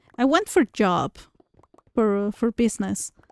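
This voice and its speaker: This woman's voice comes through with a dry, close sound and no echo. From Mexico, central (near Mexico City). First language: Spanish. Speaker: gaming streamer. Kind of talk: casual chat. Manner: halting, frequent repetitions.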